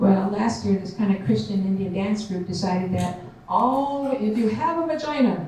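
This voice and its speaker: Amid noticeable background noise and audible room echo, a woman speaks at a moderate pace in a medium pitch with lively intonation. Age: 70s. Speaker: conference speaker, Native elder and military veteran. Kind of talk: conference talk with audience Q&A.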